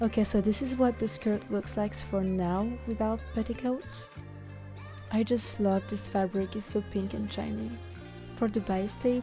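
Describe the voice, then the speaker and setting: Background music is playing. A woman talks at a medium speed. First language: French. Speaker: cosplayer. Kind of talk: sewing tutorial narration.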